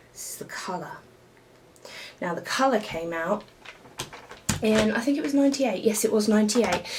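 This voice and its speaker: Over noticeable background noise, a woman with a British accent speaks at a moderate pace with ordinary pitch variation. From United Kingdom. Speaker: retro gaming YouTuber. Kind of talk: casual show-and-tell video. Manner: halting, many fillers.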